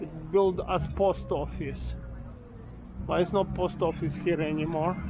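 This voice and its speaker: Over music in the background, a man speaks at a fairly slow pace in a relaxed tone. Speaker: walking tour vlogger. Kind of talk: self-guided walking tour narration, pointing out local history and shops. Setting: outdoors. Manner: rambling, halting with frequent fillers and self-corrections; relaxed, chatty, laughs casually while walking.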